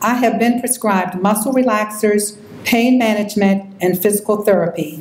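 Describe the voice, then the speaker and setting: Through noticeable background noise, a woman talks at a moderate pace. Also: very even loudness. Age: 60s. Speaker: patient speaker. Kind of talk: personal testimony.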